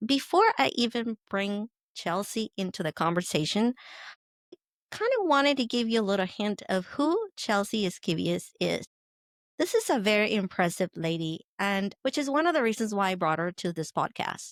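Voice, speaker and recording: In a dry, close sound with no echo, a woman with a Spanish accent speaks at a moderate pace and medium pitch with lively intonation. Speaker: podcast host. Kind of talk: podcast introduction.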